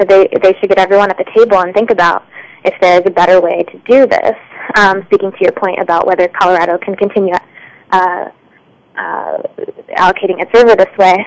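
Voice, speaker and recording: Speaking very fast with long, frequent pauses, a woman has a medium pitch and monotone, flat intonation. The sound is dry and close with no echo, though background noise is noticeable. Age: young. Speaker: environmental reporter. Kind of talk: radio interview. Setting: phone call. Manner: halting, many fillers.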